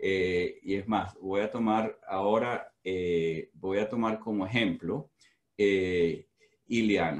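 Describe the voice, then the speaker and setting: A man is speaking. The background is quiet. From Venezuela. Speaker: professor. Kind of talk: lecture. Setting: video call. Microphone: video call.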